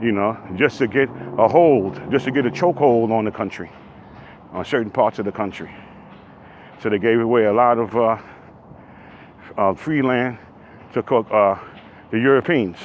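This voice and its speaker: A man with a medium-pitched voice talks at a moderate pace. He leaves long, frequent pauses over noticeable background noise. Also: ordinary pitch variation. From New York City. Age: 60s. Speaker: vlogger. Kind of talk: casual monologue while walking. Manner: animated.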